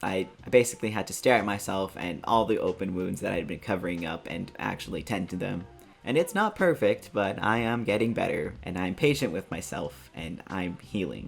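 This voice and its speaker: There is music in the background as a man speaks in a fairly low pitch. His lively intonation runs on with hardly any pauses. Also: moderate pace. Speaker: artist vlogger. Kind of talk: personal vlog update.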